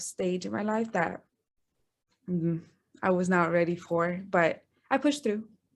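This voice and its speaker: A woman speaks with an American accent. Her pace is fairly slow, with ordinary pitch variation. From Texas border region. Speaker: guest sharing fertility journey. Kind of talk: interview podcast.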